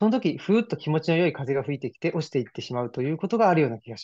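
Against a quiet background, a man with a dark, mellow tone talks at a very fast pace, his pitch swinging very widely. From Saitama, Japan. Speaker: private library owner and internet radio host; internet radio host. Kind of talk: casual interview conversation. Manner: hesitant, many fillers. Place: home room. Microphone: video call.

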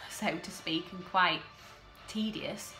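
A woman with ordinary pitch variation over music in the background. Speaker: TV episode recap host. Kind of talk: casual talk to camera.

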